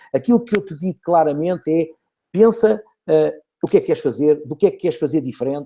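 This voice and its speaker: At a very fast pace, a man with a fairly high pitch and a dark, mellow tone speaks with lively intonation. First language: Portuguese. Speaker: network marketing leader. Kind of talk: webinar presentation.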